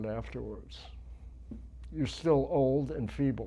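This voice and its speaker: Speech at a fairly slow pace with audible room echo. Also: man. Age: 80s+. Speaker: powerlifter and army veteran. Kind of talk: casual chat.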